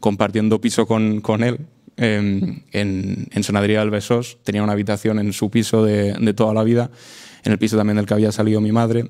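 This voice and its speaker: A man's dark, mellow tone at fairly low pitch, with monotone, flat intonation, very even loudness and a moderate pace. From Spain, Matarraña (Aragon/Catalan border area). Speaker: podcast guest. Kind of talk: casual chat. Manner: halting, many repetitions.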